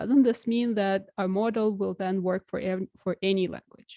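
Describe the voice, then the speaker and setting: Speaking at a moderate pace with a Russian accent, a woman has a dark, mellow tone in a dry, close sound with no echo. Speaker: researcher. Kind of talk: lecture.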